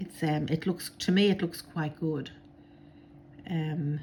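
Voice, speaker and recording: Her voice dark and mellow, a woman speaks very slowly at a fairly low pitch, somewhat breathy, with fairly even intonation. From Ireland. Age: 60s. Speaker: crafter. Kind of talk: tutorial. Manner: casual, many filler words.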